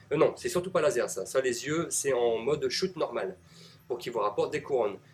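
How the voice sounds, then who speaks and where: A man speaks with a northern French accent. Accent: Ch'ti (northern French). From northern France (Nord-Pas-de-Calais). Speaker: gaming commentator. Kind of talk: live gameplay commentary. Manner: casual, hesitant with frequent fillers.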